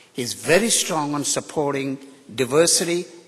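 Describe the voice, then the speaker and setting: A man with a fairly high pitch and an American accent, at a moderate pace. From India. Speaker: university professor. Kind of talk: ceremonial speech. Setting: stage with audience. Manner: unscripted, off the cuff.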